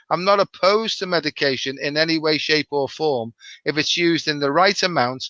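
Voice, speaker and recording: Speaking at a fairly quick pace, a man has a fairly high pitch and a bright, sharp tone. The sound is dry and close with no echo, against a quiet background. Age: 60s. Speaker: doctor. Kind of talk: casual chat.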